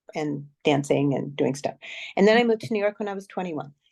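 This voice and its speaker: A woman with an American accent, fairly quick pace and ordinary pitch variation. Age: 60s. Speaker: former ballet dancer turned somatic practitioner. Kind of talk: interview. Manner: hesitant, with fillers.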